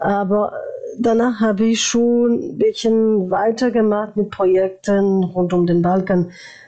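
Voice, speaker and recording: Over noticeable background noise, a woman speaks very slowly in a medium pitch, with ordinary pitch variation and very even loudness. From France, born in former Yugoslavia. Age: 40s. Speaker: former youth ambassador. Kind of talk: interview. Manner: halting.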